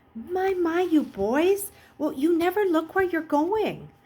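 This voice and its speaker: A woman puts on a character voice, speaking at a fairly slow pace with lively intonation and an extremely high pitch. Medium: read story. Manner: fussy, motherly.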